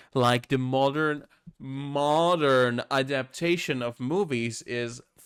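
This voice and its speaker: Speaking with a non-native accent, this voice moves at a very slow pace with fairly even intonation. The recording is very clean, with a silent background. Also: man. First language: not English. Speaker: streamer reacting to videos. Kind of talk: casual reaction commentary. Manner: halting, self-correcting.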